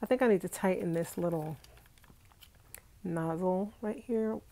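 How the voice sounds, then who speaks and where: With an American accent, a woman speaks at a moderate pace and medium pitch in a dark, mellow tone. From New York, Brooklyn (Flatbush). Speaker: vlogger. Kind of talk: live stream chat. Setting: home, sitting on bed. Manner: animated.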